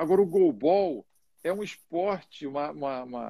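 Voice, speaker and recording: The speech moves at a fairly slow pace with very wide pitch swings, and the sound is dry and close with no echo. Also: man. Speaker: live show host and coach. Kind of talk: live interview. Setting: Instagram live.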